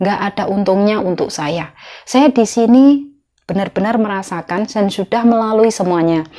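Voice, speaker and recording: Against a quiet background, a dark, mellow tone carries ordinary pitch variation at a moderate pace. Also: woman. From Indonesia. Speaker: migrant domestic worker vlogger. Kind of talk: casual vlog monologue. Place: home room. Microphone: lapel.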